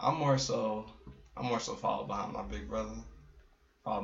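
A man in an American accent talks at a fairly quick pace, with audible room echo and noticeable background noise. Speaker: visual artist and photographer. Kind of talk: casual chat.

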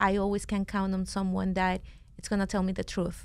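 A woman is speaking. She has a Venezuelan accent. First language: Spanish. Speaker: company founder. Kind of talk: casual chat. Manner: talkative.

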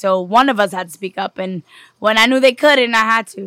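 A woman's bright, sharp voice with a New York accent, fairly high pitch, ordinary pitch variation and fairly quick pace, in a very clean recording with a silent background and a dry, close sound with no echo. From New York City. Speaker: singer songwriter. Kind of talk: casual podcast interview.

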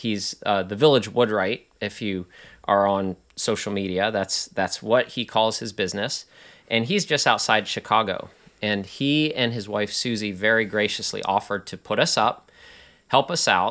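This man has an unremarkable speaking voice, pitched fairly low, with ordinary pitch variation and a moderate tempo. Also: very clean recording, silent background. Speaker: magazine podcast host. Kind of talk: casual conversation.

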